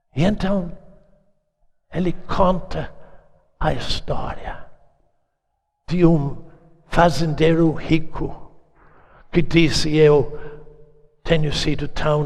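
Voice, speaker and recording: A man's fairly high voice, very slow, with long, frequent pauses, fairly even intonation and audible room echo. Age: 80s+. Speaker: preacher. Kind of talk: sermon.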